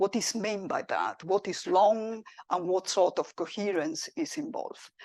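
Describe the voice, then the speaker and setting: With lively intonation and a medium pitch, a woman talks at a fairly slow pace, her voice dry and close with no echo over a quiet background. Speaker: physics professor. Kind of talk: lecture.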